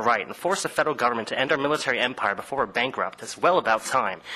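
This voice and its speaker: Speaking very fast, a man at medium pitch uses lively intonation. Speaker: war veteran. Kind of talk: public comment speech.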